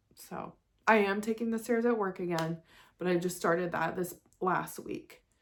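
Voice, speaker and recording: A woman speaks at a fairly low pitch. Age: 40s. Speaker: vlogger. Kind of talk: casual vlog monologue. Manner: halting, hesitant.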